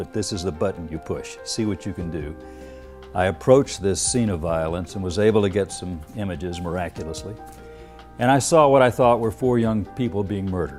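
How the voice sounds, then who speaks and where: Music behind a man's fairly low voice, at a fairly quick pace with lively intonation. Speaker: TV news anchor. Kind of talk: interview answer. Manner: steady.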